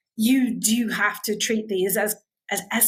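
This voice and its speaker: Here is a woman with an English accent. Her voice is fairly high and somewhat breathy. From England. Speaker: start-up founder. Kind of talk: panel discussion.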